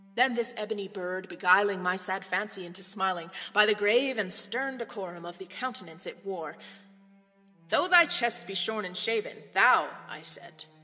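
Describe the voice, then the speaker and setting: A woman speaks at a moderate pace with ordinary pitch variation and big swings in loudness, music playing in the background. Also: medium pitch for a woman. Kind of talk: poetry reading.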